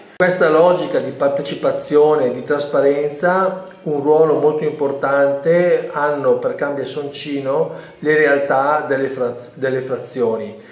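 A man's fairly high, fairly even voice at a very slow pace, with audible room echo. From Lombardy, Italy. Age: 50s. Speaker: mayoral candidate, architect and teacher. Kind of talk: interview answers, political campaign talk. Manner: formal, somewhat halting with fillers. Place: home room. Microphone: webcam.

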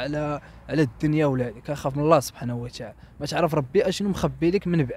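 Somewhat breathy speech at a fairly quick pace, with a dry sound and no echo. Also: man. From Morocco. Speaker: interviewee telling life story; interviewee. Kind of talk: testimony. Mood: somber, reflective. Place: street. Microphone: handheld.

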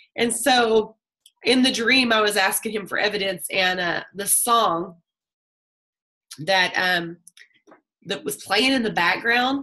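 A woman speaks at a fairly slow pace with long, frequent pauses and ordinary pitch variation. The background is quiet. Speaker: group call host. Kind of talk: personal storytelling to a group. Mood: warm, animated storytelling. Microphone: video call.

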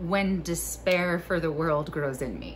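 Over light background noise, a woman talks at a very slow pace in a gentle tone. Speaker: video creator and poetry reader. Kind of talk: poem reading, calm and warm, framed by casual joking chat. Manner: slow, gentle, sincere reading; casual, chatty, self-deprecating, joking. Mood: calm, soft, playful asides. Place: home room. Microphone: phone near.

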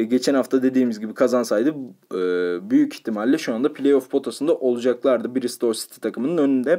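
A man's dark, mellow tone. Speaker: football betting tipster. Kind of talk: sports betting analysis monologue. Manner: frequent filler hesitations.

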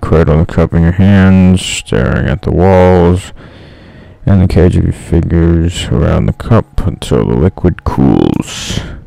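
Against noticeable background noise, a man talks at a fairly slow pace in a very deep, low pitch. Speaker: gaming YouTuber. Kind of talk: gameplay commentary, reading the game's second-person horror narration aloud. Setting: solo gameplay recording. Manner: casual, self-mocking.

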